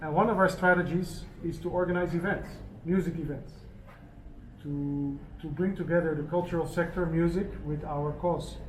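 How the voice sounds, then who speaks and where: With audible room echo around him, a man speaks at a moderate pace in a high, monotone voice with flat intonation. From Netherlands. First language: Dutch Sign Language. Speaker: charity organizer for deaf people. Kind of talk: press conference talk. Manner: halting.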